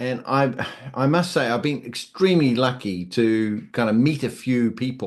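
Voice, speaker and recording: In a New Zealand accent, a man speaks at a moderate pace with a medium pitch and ordinary pitch variation. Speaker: YouTuber and hobbyist builder. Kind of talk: interview answers. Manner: hesitant, many fillers.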